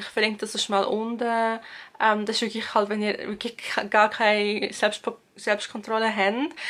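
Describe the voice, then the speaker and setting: In a Swiss accent, a woman speaks at a fairly high pitch with monotone, flat intonation. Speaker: university student. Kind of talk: casual talk to camera.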